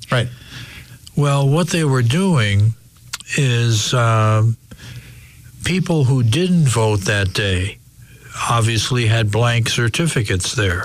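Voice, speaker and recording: A man speaks at a very slow pace and medium pitch with long, frequent pauses. His intonation is lively, his loudness very even, with noticeable background noise. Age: 60s. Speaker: retired investigative TV reporter. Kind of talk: interview. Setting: studio.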